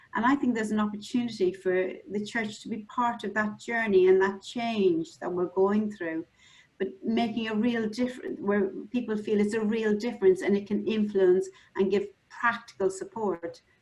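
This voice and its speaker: A somewhat breathy, fairly high-pitched woman's voice with an Irish accent. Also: ordinary pitch variation, moderate pace. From Ireland. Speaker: mental health specialist. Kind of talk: webinar panel discussion.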